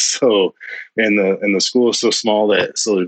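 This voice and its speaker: A man with a US Midwestern accent speaks at a fairly low pitch, the sound dry and close with no echo. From Ohio, rural. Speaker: recruiter. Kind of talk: casual chat.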